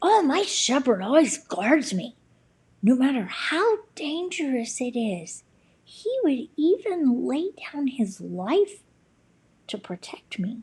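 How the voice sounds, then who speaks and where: A woman puts on a character voice at a high pitch. Her delivery is fairly slow, with very wide pitch swings. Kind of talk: bedtime story. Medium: read story. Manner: warm, sincere.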